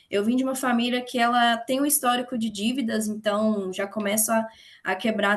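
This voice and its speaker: A woman's somewhat breathy, fairly high voice with a Minas Gerais accent, in a monotone, flat intonation at a moderate pace. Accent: Brazilian Portuguese, mineiro. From Minas Gerais, Brazil (Betim / Belo Horizonte). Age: 20s. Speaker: investment educator. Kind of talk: online open class, casual talk.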